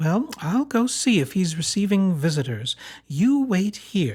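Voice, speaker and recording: In a put-on character voice, a man speaks fairly slowly at a high pitch, his pitch swinging very widely. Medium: read story. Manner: suspicious, proper.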